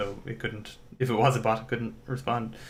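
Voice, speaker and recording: A man talks at a fairly quick pace in a somewhat breathy voice with monotone, flat intonation. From Ireland. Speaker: indie game developer livestreamer. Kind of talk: live coding stream commentary. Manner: casual, hesitant with fillers.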